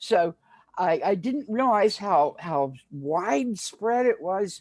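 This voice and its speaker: In front of a quiet background, a woman speaks with very wide pitch swings. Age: 70s. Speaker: community health worker. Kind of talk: panel discussion. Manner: halting, many fillers.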